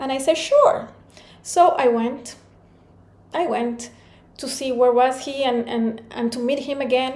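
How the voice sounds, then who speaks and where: A high-pitched woman with a Spanish accent at a fairly slow pace, with noticeable background noise and audible room echo. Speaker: motivational speaker. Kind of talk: talk.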